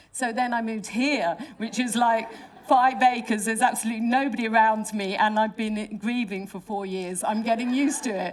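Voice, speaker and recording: A woman with a London accent, fairly high in pitch, with fairly even intonation over noticeable background noise. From London, England. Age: 60s. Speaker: artist and designer. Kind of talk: panel talk with slides. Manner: halting, many fillers and restarts.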